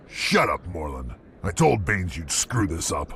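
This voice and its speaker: A man growls in a put-on character voice with a very deep, low pitch. His pitch swings very widely, and background noise is clearly heard. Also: moderate pace. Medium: short film.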